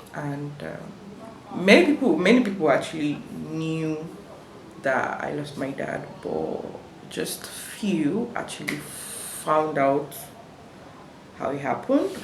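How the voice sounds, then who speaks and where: Amid audible room echo and noticeable background noise, a woman with a very deep, low pitch speaks at a very slow pace with lively intonation, big swings in loudness and long, frequent pauses. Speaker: vlogger. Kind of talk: personal storytelling vlog. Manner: halting, many fillers.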